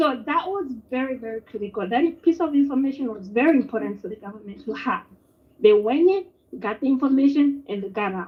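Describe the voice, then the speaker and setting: A woman with a high pitch talks at a fairly quick pace, her intonation lively and her loudness swinging widely. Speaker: caller. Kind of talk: phone-in call on live show. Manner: quiet. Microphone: feedback from other phone.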